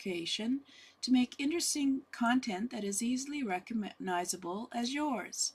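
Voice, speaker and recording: A somewhat breathy, soft-spoken voice at a fairly slow pace. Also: woman. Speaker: business coach. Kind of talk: online workshop talk. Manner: halting with fillers.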